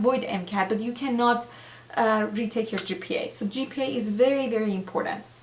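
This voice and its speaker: A woman with a non-native accent speaks at a high pitch. Noticeable background noise is present. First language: not English. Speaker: doctor and former nurse, video blogger. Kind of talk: advice vlog. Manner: hesitant, many fillers.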